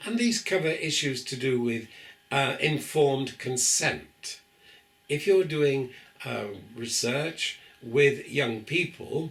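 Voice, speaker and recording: Noticeable background noise and audible room echo surround a man with a British accent. He speaks at a very slow pace, with fairly high pitch and lively intonation. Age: 70s. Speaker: professor. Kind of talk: lecture. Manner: hesitant fillers.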